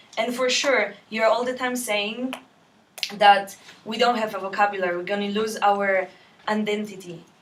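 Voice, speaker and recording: A woman talks at a moderate pace with a medium pitch and fairly even intonation. Audible room echo surrounds her voice. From Poland. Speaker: student debater. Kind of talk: classroom debate speech. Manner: halting.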